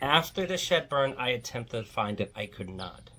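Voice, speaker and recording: A woman speaks with a Virginia Piedmont accent. Her pitch swings very widely. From Virginia Piedmont, US. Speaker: folklore video creator. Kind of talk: casual monologue rant. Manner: rambling, conversational.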